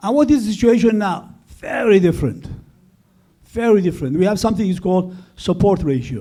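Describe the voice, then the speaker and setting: With audible room echo, a man with a dark, mellow tone and a high pitch talks at a fairly quick pace with lively intonation. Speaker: economist presenting study. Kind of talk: conference presentation. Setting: conference with audience.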